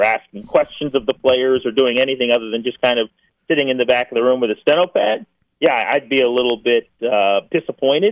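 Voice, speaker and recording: Here is an unremarkable speaking voice. It has ordinary pitch variation. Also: man. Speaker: sports radio host, team reporter. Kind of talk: sports radio interview, analytical commentary on draft. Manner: fluent, opinionated, conversational and stat-heavy.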